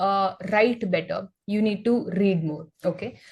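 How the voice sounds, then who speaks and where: Somewhat breathy, a woman speaks with an Indian accent. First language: Hindi. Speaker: English teacher. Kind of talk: podcast interview on learning English.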